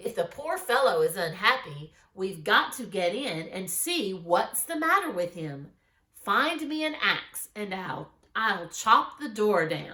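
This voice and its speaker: Using a put-on character voice, a woman speaks at a fairly slow pace and medium pitch. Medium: read story.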